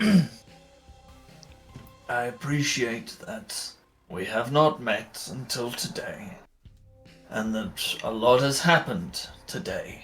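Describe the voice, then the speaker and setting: A man puts on a character voice, fairly high in pitch with very wide pitch swings and big swings in loudness. He goes at a very slow pace with long, frequent pauses as faint music plays in the background. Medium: actual play. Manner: formal, polite.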